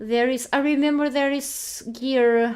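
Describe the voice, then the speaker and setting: A woman with a high-pitched voice and a non-native accent speaks very slowly. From Portugal. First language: Portuguese. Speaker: video game streamer. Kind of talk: live game stream commentary. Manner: halting, many fillers and restarts.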